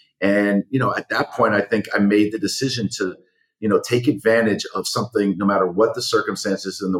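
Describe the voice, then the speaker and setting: With a plain, everyday voice, a man talks at a fairly quick pace, using a fairly low pitch and fairly even intonation. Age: 40s. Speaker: talent manager and media entrepreneur. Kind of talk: interview.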